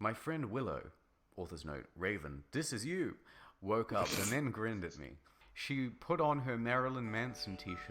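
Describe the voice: Lively intonation over plain reading aloud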